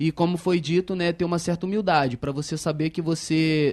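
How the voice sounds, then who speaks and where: A man at a fairly high pitch and moderate pace, monotone and flat in intonation, over a quiet background with a dry, close sound with no echo. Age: 20s. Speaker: young manager in industry. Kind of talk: panel discussion.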